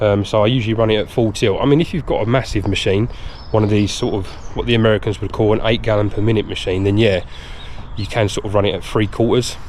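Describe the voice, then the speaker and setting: A man with a fairly low pitch talks very fast. Noticeable background noise runs behind him. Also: fairly even intonation. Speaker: pressure washing business owner. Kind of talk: vlog tutorial. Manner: hesitant with fillers.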